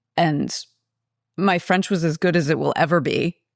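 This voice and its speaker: A woman's very deep, low voice with vocal fry and an American accent, fairly even intonation, a fairly quick pace, and a dry, close sound with no echo on a very clean recording with a silent background. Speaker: podcast co-host. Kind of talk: casual chat.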